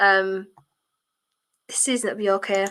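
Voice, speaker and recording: Her tone is bright and sharp. The speaker is a woman. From northern England, County Durham. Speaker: football streamer and podcaster. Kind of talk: live watchalong chat reading comments. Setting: live stream on camera at home. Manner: casual, chatty with fillers.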